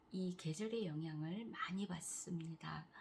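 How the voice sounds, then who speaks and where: A woman speaks at a medium pitch. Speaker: cancer patient vlogger. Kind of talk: casual vlog talk.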